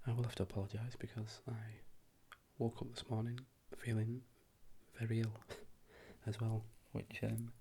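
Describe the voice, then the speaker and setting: At a moderate pace, the soft-spoken voice leaves long, frequent pauses. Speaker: works in a lab with chemists, night shifts. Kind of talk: ASMR soft-spoken ramble / catch-up talk to camera. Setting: indoor home recording with noisy neighbours' party in background.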